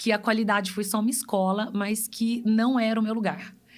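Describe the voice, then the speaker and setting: A woman speaks with a fairly high pitch. Her voice is somewhat breathy. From Brazil, Pará and Goiânia. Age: 40s. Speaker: customer experience specialist. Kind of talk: podcast interview.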